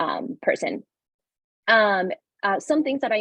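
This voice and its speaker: Her intonation is lively. This woman talks with a Spanish accent. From Panama. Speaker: panelist, early career researcher. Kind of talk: webinar panel introduction.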